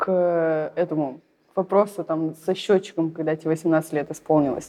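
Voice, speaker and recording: The speaker is a woman with a fairly low pitch. Her voice has a dark, mellow tone. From Saint Petersburg, Russia. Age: young. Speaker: entrepreneur in funeral services. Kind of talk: casual interview.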